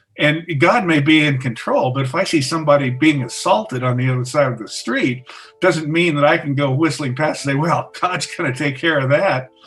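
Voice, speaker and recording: Through noticeable background noise, a man with an American accent, fairly high pitch and ordinary pitch variation talks at a fairly quick pace with hardly any pauses. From US Intermountain West. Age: 60s. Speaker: retired science teacher. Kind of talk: interview. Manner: halting.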